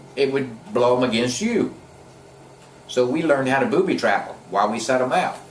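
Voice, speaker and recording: A man's medium-pitched voice in an American accent, with ordinary pitch variation, a fairly quick pace and long, frequent pauses, plus audible room echo and noticeable background noise. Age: 60s. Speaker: war veteran. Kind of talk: interview, personal war recollection. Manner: casual, conversational.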